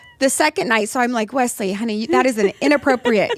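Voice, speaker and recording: Speaking at a very fast pace in a Californian accent, a woman has a fairly high pitch and ordinary pitch variation, recorded with a dry, close sound and no echo. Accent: very California, very American. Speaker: podcast co-host. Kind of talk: casual chat.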